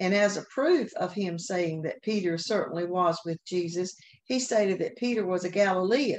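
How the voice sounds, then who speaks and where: A woman speaks at a moderate pace in a Southern US accent, her medium pitch showing ordinary variation over a quiet background. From US South. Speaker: Sunday school teacher. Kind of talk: Bible lesson. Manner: occasional hesitations.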